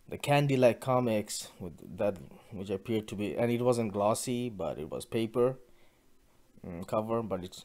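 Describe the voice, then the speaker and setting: A man speaks in a Bengali accent. His voice is fairly low, with a dark, mellow tone. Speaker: podcaster. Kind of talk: casual solo podcast monologue. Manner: halting, many false starts.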